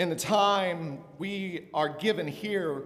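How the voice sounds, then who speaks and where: Lively intonation marks this man's speech, which carries audible room echo. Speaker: minister. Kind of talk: worship service leading.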